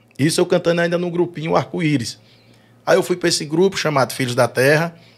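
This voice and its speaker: A man is talking here. The variation in his pitch is ordinary. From Brazil, Northeast (Sergipe/Bahia); Northeast Brazil. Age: 40s. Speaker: forró singer; podcast guest. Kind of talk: casual chat. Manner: halting, repeats words. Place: studio. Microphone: studio mic.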